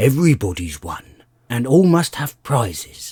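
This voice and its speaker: Putting on a character voice, a man speaks at medium pitch and a moderate pace, his pitch swinging very widely. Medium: read story. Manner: solemn, grave.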